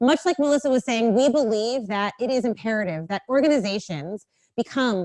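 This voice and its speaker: A woman speaks at a moderate pace with a fairly high pitch. Her intonation is lively and her tone animated. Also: dry, close sound with no echo. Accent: American. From US, Los Angeles. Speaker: diversity consultant and speaker. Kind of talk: talk to a live audience. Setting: stage with audience. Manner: animated, engaging with audience.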